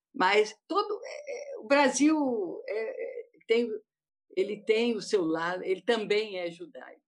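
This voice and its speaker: A woman at a very slow pace with long, frequent pauses. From Rio de Janeiro state, Brazil. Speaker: panel guest, doctor. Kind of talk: panel discussion. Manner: halting.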